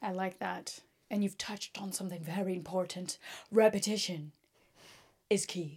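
A woman talks at medium pitch and a moderate pace, her voice somewhat breathy. She leaves long, frequent pauses. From Brazil. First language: Portuguese. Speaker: podcast host. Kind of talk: casual chat. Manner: animated.

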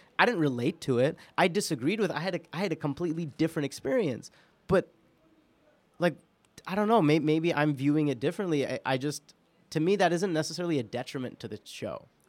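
A man with an American accent speaks at a very fast pace. His fairly high voice shows ordinary pitch variation. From New York. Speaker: podcast producer and guest co-host. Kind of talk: casual chat. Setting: studio.

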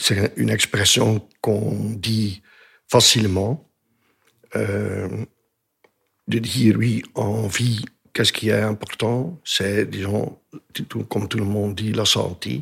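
Very slowly, a man speaks at a fairly low pitch with vocal fry and ordinary pitch variation. He leaves long, frequent pauses. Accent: Dutch. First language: Dutch (speaking French). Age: 60s. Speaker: retired business consultant, cancer patient. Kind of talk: interview testimony. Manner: halting, many hesitations.

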